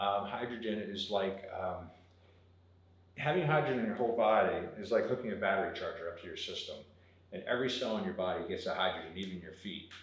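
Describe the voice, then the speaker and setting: Over noticeable background noise and audible room echo, a man with an American accent talks at a very fast pace in a medium pitch, his intonation lively. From South Jersey, US. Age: 50s. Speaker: water filtration business owner. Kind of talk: interview. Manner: casual.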